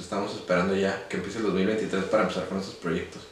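With noticeable background noise and audible room echo, a man speaks at a very fast pace. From Mexico City, then Baja California. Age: 20s. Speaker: local government official and student. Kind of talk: interview. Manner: halting.

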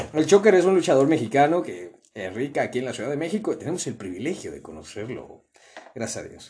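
Speaking at a very fast pace in an animated tone, a man with a fairly high pitch makes very wide pitch swings and big swings in loudness. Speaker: podcast host. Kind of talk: casual chat.

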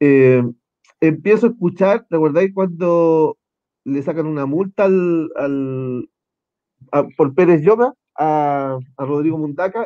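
A man speaks at a fairly slow pace in a Chilean accent. His intonation is lively. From Chile, Concepción. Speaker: political candidate and activist. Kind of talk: casual interview.

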